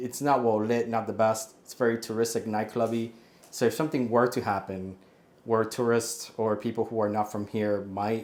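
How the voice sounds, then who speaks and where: Speaking with a Spanish accent, a man holds a medium pitch at a moderate pace with monotone, flat intonation. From Puerto Rico and Miami. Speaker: expat property buyer. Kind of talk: casual interview. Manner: casual, with fillers and restarts.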